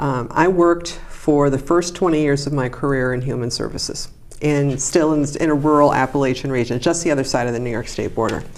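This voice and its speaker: With audible room echo, a woman talks in a very deep, low voice with fairly even intonation. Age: 60s. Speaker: professor and congressional candidate. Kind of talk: interview. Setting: studio.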